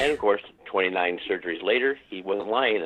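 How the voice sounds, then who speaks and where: A man's normal speaking voice with ordinary pitch variation. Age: 60s. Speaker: war veteran and police officer. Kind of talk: phone-in conversation. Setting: phone call.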